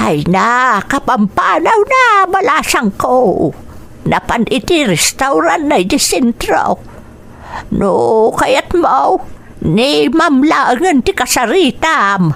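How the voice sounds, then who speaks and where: In a put-on character voice, the speaker moves very slowly with very wide pitch swings and very even loudness over clear background noise. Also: woman. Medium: audio drama. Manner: warm, chatty.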